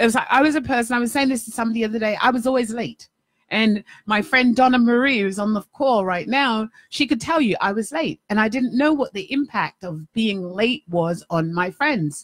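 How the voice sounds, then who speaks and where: Over a quiet background, a woman with an animated tone and lively intonation speaks at a fairly quick pace, somewhat breathy, in a dry sound with no echo. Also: fairly high pitch for a woman. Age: 50s. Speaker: life coach and radio host. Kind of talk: live-streamed talk show monologue. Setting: studio with webcam live stream. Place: home room. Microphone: studio mic.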